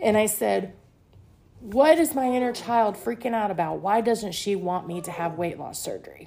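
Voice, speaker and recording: A woman's fairly high voice at a moderate pace, with lively intonation and big swings in loudness. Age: 40s. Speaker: podcast host, abuse survivor. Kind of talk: personal monologue podcast. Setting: at home at a table. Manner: casual, conversational with filler words.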